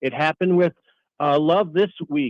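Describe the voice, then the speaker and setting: A man talks with a high pitch and fairly even intonation. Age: 60s. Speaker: caller. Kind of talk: sports talk radio call.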